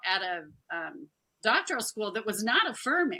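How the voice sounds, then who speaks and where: Her voice raised and projected, a woman speaks with very wide pitch swings. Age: 60s. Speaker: former church minister with a doctorate. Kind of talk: casual interview conversation.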